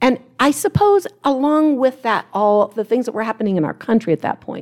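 A woman speaks with a US Midwestern accent at a moderate pace. Her intonation is lively. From Ohio, US Midwest. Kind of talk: panel talk before a live audience. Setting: conference stage with live audience.

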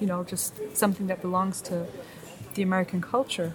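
Against noticeable background noise, a woman with a German accent speaks at a very fast pace. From East Germany. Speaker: media studies graduate. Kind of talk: casual interview. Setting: restaurant in Berlin. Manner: hesitant, many fillers.

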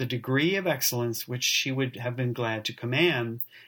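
The clip is plain reading aloud. Its intonation remains fairly even.

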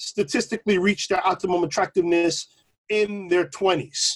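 This man's voice is high-pitched and moves at a moderate pace. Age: 40s. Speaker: podcast co-host. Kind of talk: casual chat.

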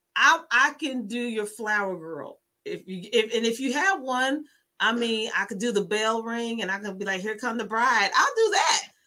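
A woman's animated, fairly high voice at a moderate pace, with an American accent. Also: lively intonation. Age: 40s. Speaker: podcast host. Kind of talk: casual interview.

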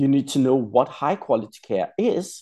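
A man's fairly high voice with a dark, mellow tone at a moderate pace. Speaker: physiotherapist and educator. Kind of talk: interview.

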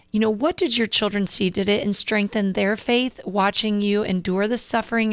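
A woman with an unremarkable speaking voice, medium pitch and fairly even intonation, at a moderate pace, on a very clean recording with a silent background. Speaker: radio host. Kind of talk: interview. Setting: studio.

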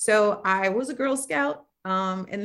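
A woman's unremarkable speaking voice, medium in pitch, with lively intonation and an American accent. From Oakland, California. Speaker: nonprofit founder and author. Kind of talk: interview.

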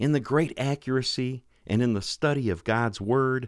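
A man at medium pitch with an ordinary speaking voice, at a fairly slow pace, in a very clean recording with a silent background. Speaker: radio host. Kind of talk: religious radio show, scripture reading and interview. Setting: radio studio. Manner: formal, warm, earnest.

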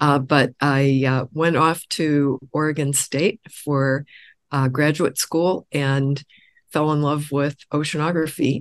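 A woman with a Midwestern American accent speaks very slowly in a very deep, low pitch and monotone, flat intonation, with very even loudness and a dry, close sound with no echo. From US Midwest, Illinois. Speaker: oceanographer, research institute director. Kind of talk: interview. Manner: frequent filler hesitations.

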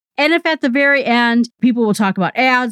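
A woman's normal speaking voice with lively intonation at a moderate pace, in a dry, close sound with no echo. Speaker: podcast listener reviewer. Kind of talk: recorded listener review.

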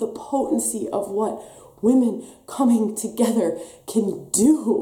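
With an American accent, the speaker uses lively intonation against noticeable background noise. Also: woman. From Wisconsin, US. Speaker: women's wellness coach and podcast host. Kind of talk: live stream talk with guided practice. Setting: live stream on camera.

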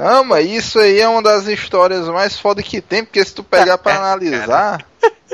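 A man with a high pitch speaks at a moderate pace in a dry, close sound with no echo. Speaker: podcast co-host. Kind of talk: casual chat.

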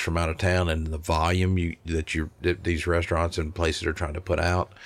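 A man with a Tennessee accent speaks at a moderate pace in a very deep, low voice. The recording is very clean, with a silent background. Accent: Southern US (Tennessee). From Middle Tennessee (Smyrna, near Nashville). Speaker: barbecue restaurant owner. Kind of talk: interview conversation.

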